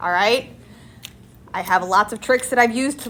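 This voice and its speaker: Speaking at a fairly quick pace, a woman sounds animated, her fairly high pitch moving with ordinary variation. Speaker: high school math teacher. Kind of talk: classroom lecture.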